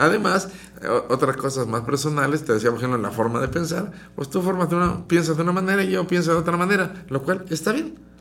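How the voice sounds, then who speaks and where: Lively intonation marks this man's high-pitched voice at a very fast pace. Room echo is audible. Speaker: radio host and psychologist. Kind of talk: radio talk show. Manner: modulated, calmer than before.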